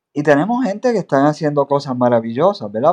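With a dry, close sound and no echo, a man speaks at a fairly high pitch that swings very widely. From Puerto Rico, Aguada (west). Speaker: journalist. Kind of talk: interview.

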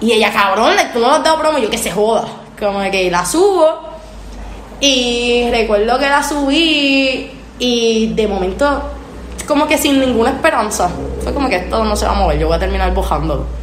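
A woman with a Puerto Rican accent speaks in an animated tone with lively intonation, fairly high pitch and a moderate pace. Noticeable background noise and audible room echo fill the recording. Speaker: singer. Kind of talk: casual chat.

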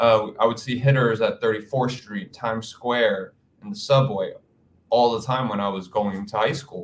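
Delivered at a moderate pace with ordinary pitch variation, this is an ordinary speaking voice. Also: man, medium pitch for a man. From Queens, New York City. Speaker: dancer and event producer. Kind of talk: casual interview.

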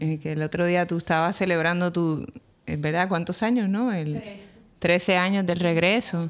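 With a Puerto Rican accent, a woman talks at a fairly slow pace, her pitch fairly low and her intonation fairly even. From Puerto Rico, Río Piedras. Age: 40s. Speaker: architect and educator. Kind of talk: interview conversation. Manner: hesitant, many fillers.

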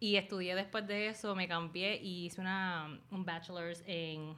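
This woman has a plain, everyday voice, pitched fairly low. She talks at a moderate pace with fairly even intonation. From Puerto Rico. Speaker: YouTuber and dog rescuer. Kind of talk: casual interview chat. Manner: code-switching Spanish and English.

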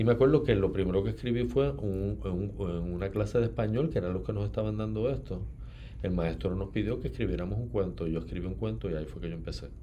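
Very deep and low, a man's voice with a dark, mellow tone and vocal fry races at a very fast pace with very wide pitch swings in audible room echo. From Puerto Rico, Ponce. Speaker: novelist. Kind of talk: interview.

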